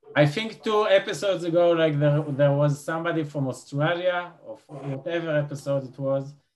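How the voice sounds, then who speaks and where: A fairly high-pitched man with an Israeli accent, moderate pace, ordinary pitch variation and big swings in loudness. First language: Hebrew. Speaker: podcast host. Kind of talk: casual interview conversation.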